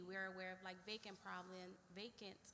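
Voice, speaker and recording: A loud voice with an American accent and a bright, sharp tone, carrying audible room echo. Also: woman. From Washington DC, Trinidad neighborhood. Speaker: police lieutenant. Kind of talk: community meeting presentation. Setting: church community meeting with audience. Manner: direct.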